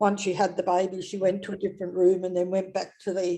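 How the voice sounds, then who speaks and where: With an Australian accent, a woman speaks in a dark, mellow tone at a medium pitch. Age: 70s. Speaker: retired midwife. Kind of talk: interview testimony. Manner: halting.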